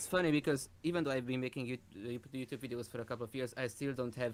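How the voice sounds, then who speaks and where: A man is speaking. He has a Hungarian accent. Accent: Hungarian accent, understandable. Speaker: YouTuber. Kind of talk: casual chat. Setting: livestream video call.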